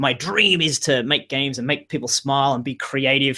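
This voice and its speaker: At a fairly quick pace, a man with an Australian accent talks in a bright, sharp tone. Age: 40s. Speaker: game industry career coach. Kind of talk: webinar interview. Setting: video webinar. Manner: fast.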